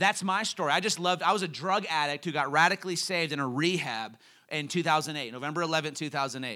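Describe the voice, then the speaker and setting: In a very clean recording with a silent background, a raised, projected voice sounds animated, bright and sharp, with lively intonation. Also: man. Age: 30s. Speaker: guest preacher. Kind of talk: sermon.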